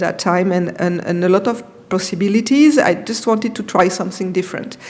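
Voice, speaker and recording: Amid noticeable background noise, a woman with a French accent talks fairly quickly at a medium pitch, with ordinary pitch variation. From France. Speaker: film industry consultant. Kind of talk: conference talk. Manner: halting.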